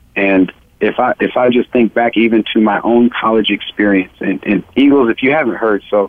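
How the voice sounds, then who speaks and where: This is an unremarkable speaking voice. It moves at a fairly quick pace with fairly even intonation. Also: man. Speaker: returning guest, former scholarship athlete. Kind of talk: talk radio discussion.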